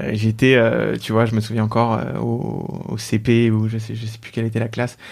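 At a moderate pace and medium pitch, a man talks in a very clean recording against a silent background. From Paris region, France. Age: 20s. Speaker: mental health startup founder. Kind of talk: casual interview conversation. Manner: hesitant, many fillers and repetitions.

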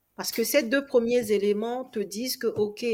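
A woman speaks in an ordinary speaking voice at a fairly high pitch, with ordinary pitch variation and a moderate pace. The recording is very clean, with a silent background. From Togo. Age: 30s. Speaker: real estate investor and coach. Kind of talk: casual interview.

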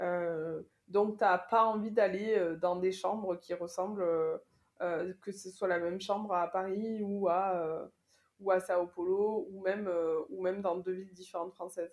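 Her pace is very slow. This woman speaks with monotone, flat intonation. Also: medium pitch for a woman. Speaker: corporate chief of staff. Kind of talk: interview. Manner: halting, many repetitions and fillers.

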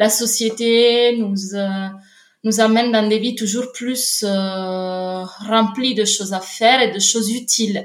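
A woman speaks in an Italian accent. Her fairly high voice keeps fairly even intonation. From Italy, Naples. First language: Italian (speaking French). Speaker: literature researcher. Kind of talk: casual interview. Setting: remote call. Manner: halting, frequent repetitions.

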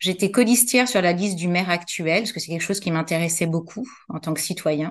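A woman talks at a fairly quick pace. Hers is a plain, everyday voice. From Paris, France. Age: 50s. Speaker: entrepreneur, former occupational health nurse. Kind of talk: interview.

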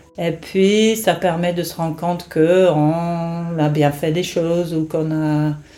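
A woman speaks at a very slow pace in a flat, monotone way. Noticeable background noise runs behind her. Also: fairly low pitch for a woman. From England. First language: English (speaking French). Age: 50s. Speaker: nurse and caregiver to her ill husband. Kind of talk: personal testimony. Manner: hesitant, many fillers.

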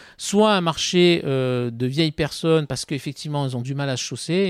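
The recording is very clean, dry and close, with no echo and a silent background. A man speaks at a fairly high pitch with ordinary pitch variation. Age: 50s. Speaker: former tennis player and sports marketing executive. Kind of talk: podcast interview. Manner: hesitant, many fillers.

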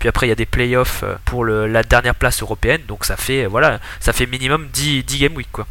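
A man speaks fairly quickly. The recording carries noticeable background noise. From southern France, Montpellier. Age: 20s. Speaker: digital marketing specialist, fantasy football player. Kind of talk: podcast interview.

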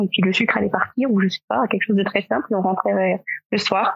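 With a plain, everyday voice, a woman speaks at a fairly quick pace and medium pitch. Her pitch variation is ordinary, and the sound is dry and close with no echo. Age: 30s. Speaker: comic book author and illustrator, parent of diabetic child. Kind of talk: podcast interview.

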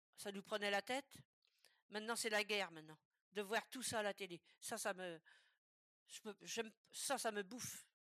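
Bright and sharp in tone, a woman speaks at a moderate pace with a medium pitch and ordinary pitch variation. The sound is dry and close with no echo. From western France, Loire-Atlantique. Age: 80s+. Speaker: retiree sharing life story. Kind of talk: interview about life story. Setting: remote video call. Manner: halting, with many repetitions.

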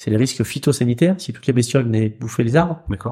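On a very clean recording with a silent background, a somewhat breathy man talks at a very fast pace and medium pitch with ordinary pitch variation. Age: 40s. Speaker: wealth management advisor. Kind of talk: interview. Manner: hesitant, many fillers.

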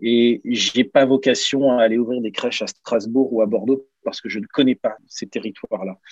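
A man's ordinary speaking voice at medium pitch and moderate pace, with fairly even intonation and a dry, close sound with no echo. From Normandy, France (Caen), then Lens area from 14. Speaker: former pro footballer, daycare entrepreneur. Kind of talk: interview.

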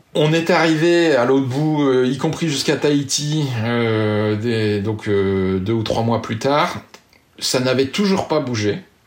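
The speech comes at a very slow pace with lively intonation and very even loudness. Noticeable background noise runs underneath. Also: man, medium pitch for a man. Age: 40s. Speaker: sailor and app creator. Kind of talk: interview. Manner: halting.

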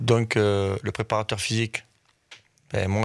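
A man talks in a normal speaking voice, fairly low in pitch, at a moderate pace. His intonation is fairly even, and the recording is very clean with a silent background. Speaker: football coach. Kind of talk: radio interview.

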